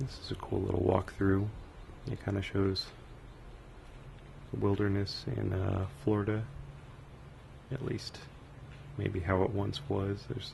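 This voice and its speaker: The speaker is soft-spoken and relaxed in tone, using ordinary pitch variation. The pace is fairly slow, with long, frequent pauses. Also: man, fairly low pitch for a man. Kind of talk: casual first-person museum tour narration. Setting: binaural microphone recording, ambient museum sounds. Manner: soft-spoken, relaxed, rambling.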